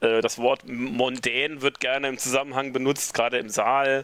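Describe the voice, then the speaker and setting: A man at medium pitch speaks in a flat monotone. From rural northern Saarland, Germany. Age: 40s. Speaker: event organizer. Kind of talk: casual interview.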